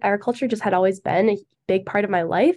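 A woman with an Upper Midwest accent and ordinary pitch variation. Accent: Upper Midwest American. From Michigan, near Grand Rapids. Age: 20s. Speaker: agriculture student ambassador. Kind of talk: casual interview.

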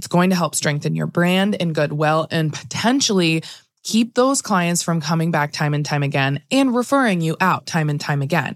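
An unremarkable speaking voice from a woman, fairly low in pitch, with lively intonation at a moderate pace. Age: 30s. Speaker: podcast host, attorney and photographer. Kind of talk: solo podcast talk. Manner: casual, frequent laughs.

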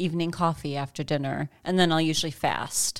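A woman with an American accent, a very deep, low pitch, and monotone, flat intonation, on a very clean recording with a silent background. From Chicago. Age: 40s. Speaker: fitness podcast host. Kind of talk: casual chat.

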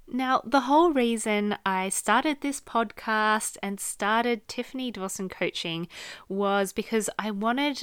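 With an Australian accent, a woman speaks at a fairly slow pace using lively intonation. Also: very clean recording, silent background. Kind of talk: solo podcast monologue, advice. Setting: recording studio / home podcast setup.

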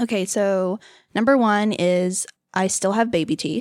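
Fairly even intonation and medium pitch from a woman with an American accent. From Los Angeles, California. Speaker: event hostess and former film worker. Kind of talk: casual chat. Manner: giggly, filler-heavy.

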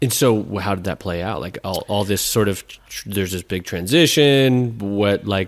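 In a plain, everyday voice, a man talks at a moderate pace with hardly any pauses, fairly low in pitch with ordinary pitch variation and big swings in loudness. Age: 30s. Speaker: podcast co-host. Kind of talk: casual chat.

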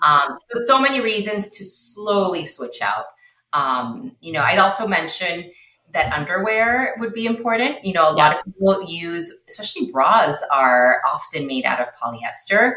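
With a Spanish accent, the speaker moves at a moderate pace. Pitch swings very wide and loudness rises and falls sharply. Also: woman, medium pitch for a woman. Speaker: low-tox living consultant and educator. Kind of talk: interview, podcast conversation.

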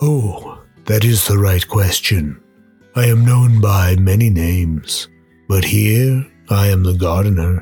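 Faint music sits in the background as a man speaks at a fairly slow pace and a fairly low pitch. His loudness stays very even, and his pitch varies in an ordinary way. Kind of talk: radio play drama. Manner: playful, teasing, menacing.

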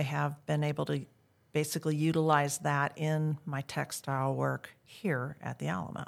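A woman with a Midwestern US accent and a very deep, low pitch, at a moderate pace, on a very clean recording with a silent background. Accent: General American, Midwestern. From US Midwest, Iowa. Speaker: living historian. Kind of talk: interview.

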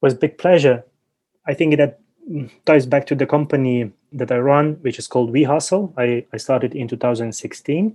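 With a Ukrainian accent, a man of medium pitch and dark, mellow tone talks at a moderate pace with ordinary pitch variation. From Ukraine. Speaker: entrepreneur. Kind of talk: interview.

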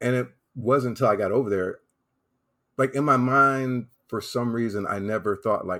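A man with a plain, everyday voice and an American accent, at a moderate pace with ordinary pitch variation, on a very clean recording with a silent background. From US South, South Carolina. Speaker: travel website founder, Air Force veteran. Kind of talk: interview.

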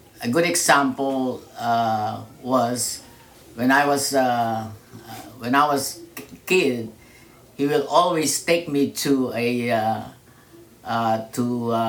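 A man's medium-pitched voice at a very slow pace, with long, frequent pauses, ordinary pitch variation and audible room echo. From Philippines, Manila. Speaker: churchgoer and immigrant father. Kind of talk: interview. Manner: halting.

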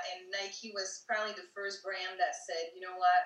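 Speaking at a moderate pace, a woman with a French accent talks at a medium pitch. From France, Paris. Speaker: IT project manager. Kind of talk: interview. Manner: halting with many fillers.

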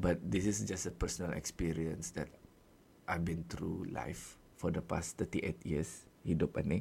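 This man's very deep, low voice carries vocal fry and ordinary pitch variation. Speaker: podcast host. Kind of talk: solo monologue, casual. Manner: code-switching Malay-English with fillers.

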